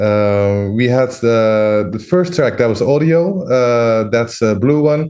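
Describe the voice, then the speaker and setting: Over a quiet background, a man with a medium pitch speaks in a dark, mellow tone with lively intonation. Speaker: audiovisual artist demonstrating software. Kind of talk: livestream tutorial. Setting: livestream. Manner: slow, hesitant with fillers.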